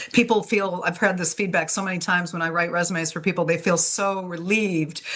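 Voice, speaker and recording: A woman with a bright, sharp tone and a fairly low pitch talks at a fairly quick pace. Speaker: career coach and resume writer. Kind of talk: webinar presentation. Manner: energetic; casual with fillers.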